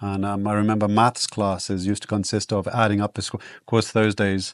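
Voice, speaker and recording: In a South African accent, a man talks at a fairly quick pace in a fairly low, monotone, flat voice, with a dry, close sound and no echo. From southern Africa (South Africa/Botswana), then Guyana. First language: Afrikaans. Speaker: wilderness guide. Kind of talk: casual chat. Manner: hesitant, many fillers.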